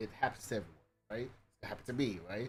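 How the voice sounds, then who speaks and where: Music plays in the background as an animated voice rushes along at a very fast pace. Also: man. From UK. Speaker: gaming streamer. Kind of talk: casual chat. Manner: halting.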